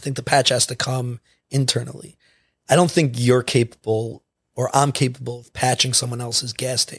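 A somewhat breathy man at a medium pitch speaks at a moderate pace with a monotone, flat intonation and big swings in loudness, the sound dry and close with no echo. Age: 30s. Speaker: addiction program coordinator. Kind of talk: casual chat.

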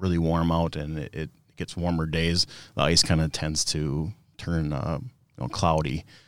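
On a very clean recording with a silent background, a man speaks in a very deep, low pitch with ordinary pitch variation. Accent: Minnesota. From northern Minnesota. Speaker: product manager and ice fisherman. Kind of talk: casual interview. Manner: halting, many fillers.

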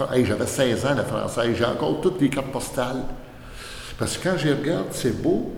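Against noticeable background noise and audible room echo, a man at medium pitch talks at a fairly quick pace with ordinary pitch variation. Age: 60s. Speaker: retired mail carrier. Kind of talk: casual interview. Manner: animated.

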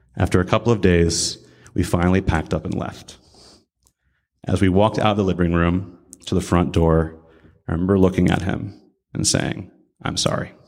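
Speech comes at a fairly quick pace with fairly even intonation, yet with long, frequent pauses. The recording is very clean with a silent background. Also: man, very deep, low pitch for a man. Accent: American. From US Midwest (Columbus, Ohio). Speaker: army veteran and baker. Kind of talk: prepared talk at a religious service. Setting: room with live audience.

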